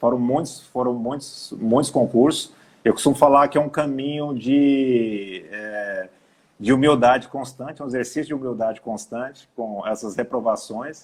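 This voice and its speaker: A man at a medium pitch, with ordinary pitch variation and a fairly slow pace. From Brazil, Goiás. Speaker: labor judge and professor. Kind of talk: live stream interview. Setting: online live stream. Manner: halting, repeats words.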